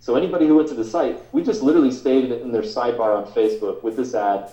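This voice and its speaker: A man with a dark, mellow tone speaks at a fairly quick pace with ordinary pitch variation. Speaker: marketing instructor. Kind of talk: webinar presentation. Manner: fast.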